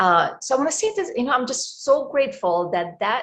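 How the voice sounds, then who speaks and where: Speaking at a moderate pace, a woman talks. She has an Egyptian accent. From Egypt, Cairo. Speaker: life coach. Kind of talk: interview.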